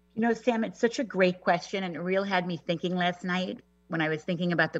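A woman with a New York accent, fairly low pitch and ordinary pitch variation. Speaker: personal stylist. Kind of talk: casual interview chat.

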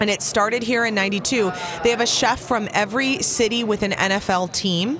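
A woman at a fairly high pitch and moderate pace, with very even loudness, fairly even intonation and noticeable background noise. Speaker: entertainment news reporter. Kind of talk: casual chat, entertainment gossip.

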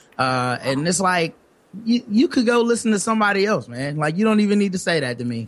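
A man speaks at a fairly quick pace with a slight Southern US accent. His pitch is high and swings very widely. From US South. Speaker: podcaster.

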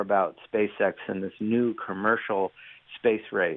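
Here a man speaks with an American accent. His pitch sits fairly low. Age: 40s. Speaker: journalist and author. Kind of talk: interview.

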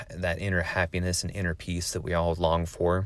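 In a West Coast accent, a man with a very deep, low voice speaks at a moderate pace. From US West Coast, Oregon. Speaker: military veteran and podcast host. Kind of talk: solo podcast monologue. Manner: casual with filler words.

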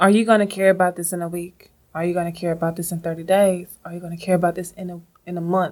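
A soft-spoken woman talks very fast in a flat monotone, her loudness swinging widely. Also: fairly low pitch for a woman. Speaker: podcast co-host. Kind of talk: casual chat.

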